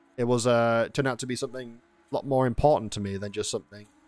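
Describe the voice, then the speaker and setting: Music plays in the background as a man speaks at medium pitch. The sound is dry and close, with no echo. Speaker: streamer and podcast host. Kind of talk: casual podcast monologue. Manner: hesitant, stuttering.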